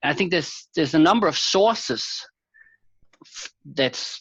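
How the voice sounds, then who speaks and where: A man with a Danish accent. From Denmark. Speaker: philosophy professor. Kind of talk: interview conversation.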